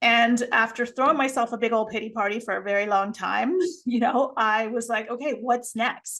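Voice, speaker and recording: Her intonation stays fairly even at a fairly high pitch. This woman has an unremarkable speaking voice. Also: moderate pace. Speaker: empowerment coach and podcast creator. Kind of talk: casual interview chat.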